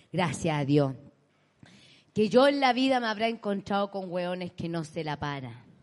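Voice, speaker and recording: A woman speaks at a medium pitch with a Chilean accent and very wide pitch swings. Her pace is moderate, broken by long, frequent pauses. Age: 30s. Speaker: comedian and podcast co-host. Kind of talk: live comedy podcast chat. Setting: stage with live audience.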